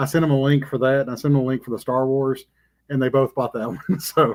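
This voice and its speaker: Speaking at a very fast pace, a man holds a fairly high pitch in a monotone, flat delivery. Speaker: comic podcast co-host. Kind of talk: casual chat. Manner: slurring words.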